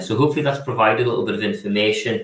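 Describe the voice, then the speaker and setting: A man talks with ordinary pitch variation. His voice is somewhat breathy. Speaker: physiotherapy programme leader. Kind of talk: online presentation. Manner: hesitant, many fillers and repetitions.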